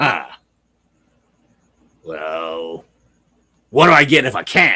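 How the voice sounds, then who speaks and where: Using a raspy, put-on character voice, a man speaks at a very slow pace with a fairly low pitch and very wide pitch swings. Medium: read story. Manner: brash, laughing.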